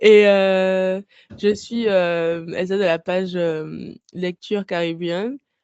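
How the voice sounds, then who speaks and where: Very slow speech from a woman, medium in pitch, her intonation fairly even. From Guadeloupe. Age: 30s. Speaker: book blogger and podcaster. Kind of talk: casual interview. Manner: halting, many hesitations.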